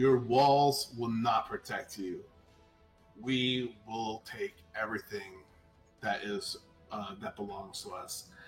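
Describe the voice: A man at a medium pitch puts on a booming character voice at a fairly slow pace. Long, frequent pauses break his speech while faint music plays in the background.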